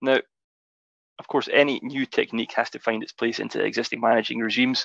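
A man with a Scottish accent speaks at a fairly quick pace, in a dry sound with no echo and a quiet background. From Scotland. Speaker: geotechnical engineer; presenter. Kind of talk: webinar presentation. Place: home room. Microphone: video call.

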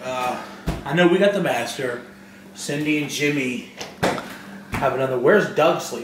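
A man speaks with audible room echo and music in the background. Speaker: vlogger. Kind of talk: casual vlog chat.

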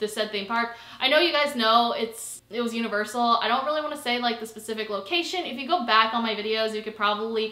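A woman talks at a very fast pace with hardly any pauses and ordinary pitch variation. The room echo is audible. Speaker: vlogger. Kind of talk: casual vlog chat. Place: home room.

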